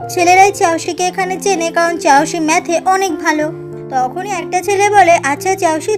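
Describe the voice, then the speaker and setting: Music plays in the background. Over it, a woman speaks at an extremely high pitch. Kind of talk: drama plot explanation narration. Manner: soothing.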